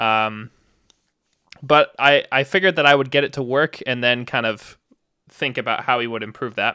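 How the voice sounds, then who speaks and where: A man's bright, sharp tone comes at a moderate pace in a very clean recording with a silent background and a dry, close sound with no echo. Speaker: demoscene programmer and live streamer. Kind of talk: live coding stream. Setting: live stream with chat. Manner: mumbling; casual, lots of fillers.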